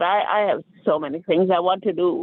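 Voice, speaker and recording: A fairly slow, high-pitched male voice with ordinary pitch variation. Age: 60s. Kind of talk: casual chat. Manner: halting.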